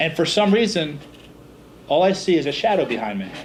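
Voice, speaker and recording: A man's American-accented voice with vocal fry, at a moderate pace, amid audible room echo. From Philadelphia, US Northeast. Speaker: business speaker. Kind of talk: seminar talk.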